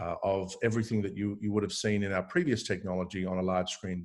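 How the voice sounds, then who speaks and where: Speaking at a very fast pace with an Australian accent, a man keeps a monotone, flat intonation at a fairly low pitch. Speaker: tech company founder and CEO. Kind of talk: interview discussion.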